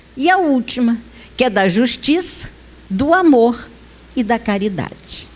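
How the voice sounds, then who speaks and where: With noticeable background noise behind her, a woman with a high pitch speaks fairly slowly, her pitch swinging very widely and her speech broken by long, frequent pauses. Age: 50s. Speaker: spiritist lecturer. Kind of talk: lecture. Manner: conversational.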